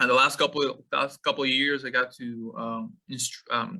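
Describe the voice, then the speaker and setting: A man with a Mexican accent talks at a moderate pace in a medium pitch, his tone bright and sharp. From Mexico, Monterrey. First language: Spanish. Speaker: meat scientist. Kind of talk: webinar lecture. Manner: halting, many fillers.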